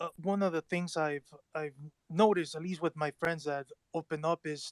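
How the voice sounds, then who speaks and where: A man speaks at a high pitch with fairly even intonation. The sound is dry and close, with no echo. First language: not English. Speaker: participant in live discussion. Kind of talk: casual discussion. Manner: halting.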